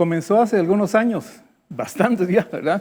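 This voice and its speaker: Fairly slow speech from a man at high pitch, with ordinary pitch variation. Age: 70s. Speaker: business founder. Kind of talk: interview. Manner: halting.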